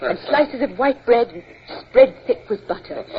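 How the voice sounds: In a put-on character voice, a woman with a fairly high pitch and a husky, rough edge talks at a moderate pace with lively intonation.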